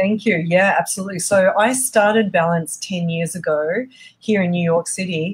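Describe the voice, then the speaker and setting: In a strong Australian accent, a woman speaks at a medium pitch and a moderate pace with ordinary pitch variation. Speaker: eating disorder treatment center founder. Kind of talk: interview. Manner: energetic.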